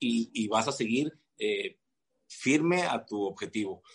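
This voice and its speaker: A man talks over a quiet background. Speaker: fitness coach and physique competitor. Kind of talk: casual chat. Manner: halting, many repeated words.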